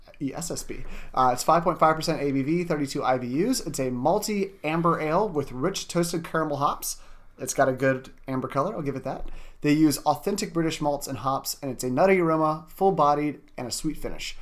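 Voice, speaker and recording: A man with a normal speaking voice talks fairly quickly in an American accent. His pitch is fairly high, with ordinary variation. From US. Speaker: beer podcast co-host and editor. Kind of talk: casual chat.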